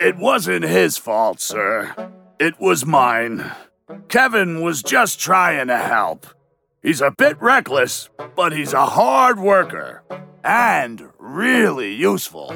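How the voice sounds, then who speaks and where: In a put-on character voice, a man speaks very slowly at a fairly high pitch, gruff and rumbling, with very wide pitch swings and faint music in the background. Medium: read story. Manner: gruff, grumbling.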